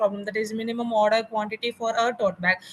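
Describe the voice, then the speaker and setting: Over noticeable background noise, a woman talks at a fairly high pitch with an Indian accent. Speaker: garment manufacturer. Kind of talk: networking call discussion. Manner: halting.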